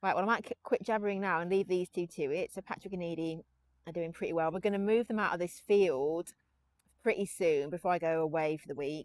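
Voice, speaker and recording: Mumbling at a fairly quick pace, a woman speaks in a fairly low pitch, the sound dry and close with no echo. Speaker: pony breeder and content creator. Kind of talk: casual vlog monologue. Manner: fast.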